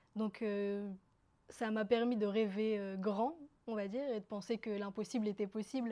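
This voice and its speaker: A woman with an Algerian accent, a fairly high pitch and a dark, mellow tone, at a fairly slow pace. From northern France (Roubaix), from Algeria at 5. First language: Kabyle (speaking French). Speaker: interviewee telling her life story. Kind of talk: personal testimony. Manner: halting, many fillers.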